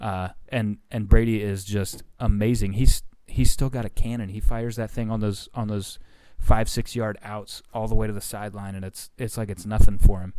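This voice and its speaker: A man speaks with a fairly low pitch in monotone, flat intonation. His loudness swings a lot. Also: moderate pace. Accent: American. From Indiana. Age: 30s. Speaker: TV news reporter. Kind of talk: casual chat. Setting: studio.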